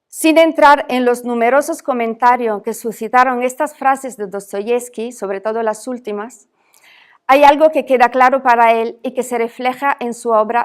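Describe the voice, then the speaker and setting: Her voice is high-pitched and fairly even in intonation, and this woman speaks at a moderate pace with big swings in loudness on a very clean recording with a silent background. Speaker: academic speaker. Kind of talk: reading a lecture paper aloud.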